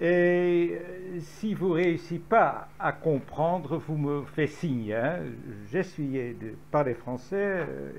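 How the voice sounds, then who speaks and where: A man speaks at a very slow pace in a Dutch accent, with ordinary pitch variation and audible room echo. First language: Dutch (speaking French). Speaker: historian. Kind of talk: lecture. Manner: halting.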